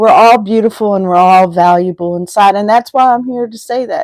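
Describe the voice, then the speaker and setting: A woman at a moderate pace with ordinary pitch variation, on a very clean recording with a silent background and a dry, close sound with no echo. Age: 60s. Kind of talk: live stream talk. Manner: halting, with repetitions.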